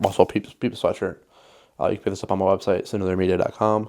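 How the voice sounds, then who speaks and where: A man speaks at a very fast pace. His tone is dark and mellow. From western Wisconsin. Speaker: photographer and videographer, small business owner. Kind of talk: casual talking-head vlog. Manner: casual, filler-heavy.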